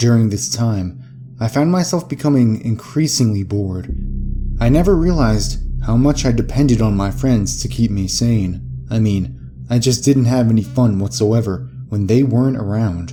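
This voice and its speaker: A man speaks at a moderate pace in a medium-pitched voice with lively intonation, music playing in the background. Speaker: narrator. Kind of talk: horror story narration.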